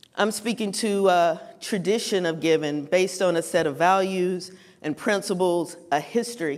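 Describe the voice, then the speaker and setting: A woman with a North Carolina accent speaks at a moderate pace in a fairly low voice with ordinary pitch variation. The room echo is audible. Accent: North Carolina Southern. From Western North Carolina (Morganton). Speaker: writer and speaker on philanthropy. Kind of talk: conference talk.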